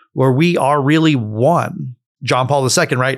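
A man with an American accent uses a normal speaking voice at a medium pitch, with ordinary pitch variation and a moderate pace, in a very clean recording with a silent background. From Florida, US. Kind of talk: interview conversation.

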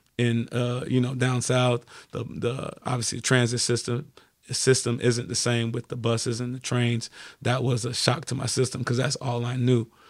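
A man with an American accent, medium in pitch, at a moderate pace. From New York City, Brooklyn, later Florida. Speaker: football coach. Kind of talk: interview. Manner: energetic.

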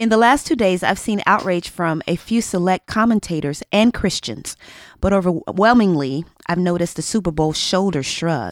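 In a dry, close sound with no echo, a woman speaks at a moderate pace in an unremarkable speaking voice of medium pitch. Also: lively intonation, very clean recording, silent background. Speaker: podcast co-host. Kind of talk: casual chat.

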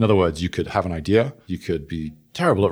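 On a very clean recording with a silent background, a man with a very deep, low pitch and a dark, mellow tone speaks at a very fast pace. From England.

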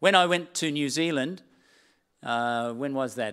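A man with an Australian accent, fairly high pitch and ordinary pitch variation at a moderate pace, on a very clean recording with a silent background. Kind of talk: sermon. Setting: church with live stream.

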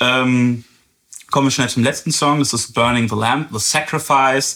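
A man talks with fairly even intonation. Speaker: podcast host, music reviewer. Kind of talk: casual chat.

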